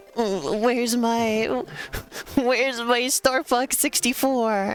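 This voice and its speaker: A woman's whiny, high-pitched put-on character voice with a whiny tone, very slow, with fairly even intonation, over clear background noise. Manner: nerdy, whiny.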